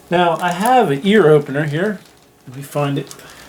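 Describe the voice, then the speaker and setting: Noticeable background noise behind a man's fairly high-pitched voice. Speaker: DIY taxidermy hobbyist. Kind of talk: tutorial. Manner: casual, conversational.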